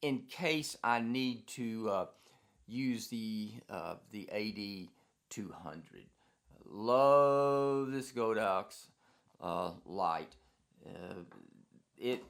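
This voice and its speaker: A man speaks at a very slow pace with long, frequent pauses and ordinary pitch variation. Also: medium pitch for a man. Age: 70s. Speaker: professional photographer. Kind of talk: casual talk to camera.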